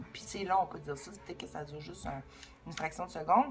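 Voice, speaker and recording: The speaker has a Quebec accent. Music plays in the background. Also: woman. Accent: Québécois. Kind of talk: casual spiritual talk to camera.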